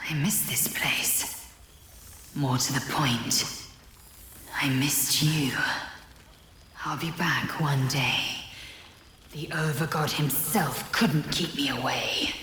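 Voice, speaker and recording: A put-on character voice at a low-to-middle pitch moves at a very slow pace, broken by long, frequent pauses. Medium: video game.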